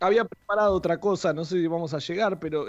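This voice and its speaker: A high-pitched man talking at a very fast pace over a quiet background. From Argentina, Saladillo (Buenos Aires province). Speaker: radio columnist. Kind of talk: radio segment chat.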